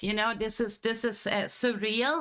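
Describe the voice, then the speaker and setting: A woman speaks with a fairly high pitch and fairly even intonation. Her pace is moderate. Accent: German. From Germany. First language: German. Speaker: streamer. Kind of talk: live stream chat. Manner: halting.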